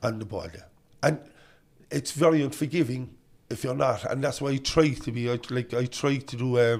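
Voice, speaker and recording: Speaking in a Cork accent at a moderate pace, a medium-pitched man uses ordinary pitch variation, big swings in loudness and long, frequent pauses, on a very clean recording with a silent background. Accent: Cork Irish. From Ireland, Cork northside (Knocknaheeney). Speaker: politician. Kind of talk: casual chat. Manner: quivering at times.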